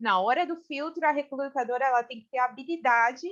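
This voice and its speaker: At a high pitch with ordinary pitch variation, a woman talks at a fairly quick pace. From Brazil. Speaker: human resources specialist. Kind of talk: casual interview chat.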